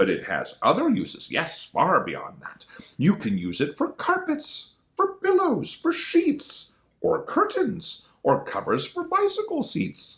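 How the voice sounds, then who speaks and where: A put-on character voice with a nasal quality. It moves at a fairly slow pace. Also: man, extremely high pitch for a man. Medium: read story. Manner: glib, dismissive.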